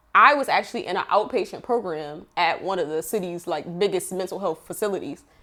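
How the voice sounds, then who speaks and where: In a normal speaking voice, a woman talks at a fairly quick pace with hardly any pauses, a medium pitch and ordinary pitch variation. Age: 30s. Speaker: entrepreneur and mother. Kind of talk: podcast interview.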